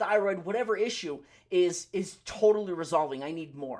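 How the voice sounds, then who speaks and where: This man has a high pitch and ordinary pitch variation. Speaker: pharmacist and naturopathy practitioner giving health talk. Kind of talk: live Q&A health talk. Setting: livestream. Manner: fast; loud.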